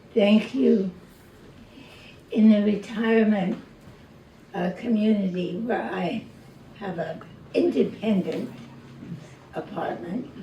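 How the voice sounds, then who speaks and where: A woman speaks at a very slow pace, medium in pitch with ordinary pitch variation. Noticeable background noise and audible room echo are present. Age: 80s+. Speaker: poet and Parkinson's advocate. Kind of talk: reading and personal talk at event. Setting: arts center event with audience.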